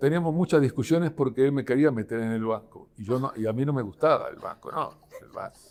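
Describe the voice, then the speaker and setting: With ordinary pitch variation, a man speaks at a fairly high pitch in a dark, mellow tone. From Argentina, Buenos Aires countryside. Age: 80s+. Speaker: artist, painter. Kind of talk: podcast interview, personal story. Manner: hesitant, many fillers and repetitions.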